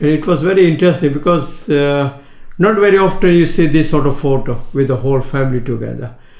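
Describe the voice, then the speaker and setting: Talking at a very fast pace, a man with a fairly high pitch uses ordinary pitch variation, and audible room echo surrounds his voice. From Kenya (Indian-born, raised in Kenya). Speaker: retired shopkeeper. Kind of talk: life story interview. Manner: halting, with frequent hesitations.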